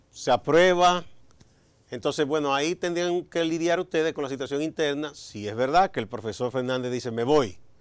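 Against a quiet background, a plain, everyday voice speaks at a moderate pace with ordinary pitch variation. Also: man, fairly high pitch for a man. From Dominican Republic. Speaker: TV interviewer. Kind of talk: interview. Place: studio. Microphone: lapel.

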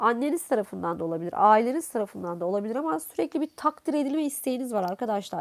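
A woman speaks at a high pitch and a fairly quick pace, her voice making very wide pitch swings. The recording is very clean, with a silent background. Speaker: fortune teller. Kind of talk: coffee cup and tarot reading monologue. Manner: hesitant, many filler sounds.

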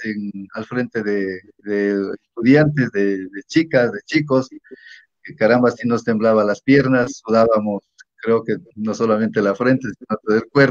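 A man talks at a fairly slow pace with fairly even intonation, and the sound is dry with no echo over a quiet background. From Ecuador, Imbabura (Natabuela). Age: 50s. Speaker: teacher and local politician. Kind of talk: interview. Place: home room. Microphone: video call.

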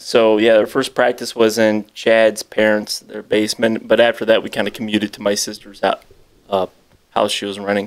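The delivery is monotone, with flat intonation, at a moderate pace. Loudness swings widely from moment to moment. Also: man, fairly low pitch for a man. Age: 30s. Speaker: metal band musician; guest. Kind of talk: casual chat. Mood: relaxed, reminiscing. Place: home room. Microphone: studio mic.

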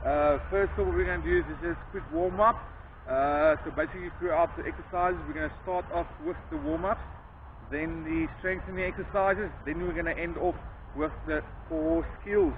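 A man talks at a moderate speed while noticeable background noise plays behind him. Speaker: rugby coach. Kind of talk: tutorial. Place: open country.

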